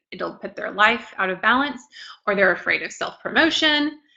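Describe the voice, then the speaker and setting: With ordinary pitch variation and a moderate pace, it is an ordinary speaking voice. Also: woman. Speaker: planner designer and business coach. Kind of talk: live online workshop. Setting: live stream reading viewer comments.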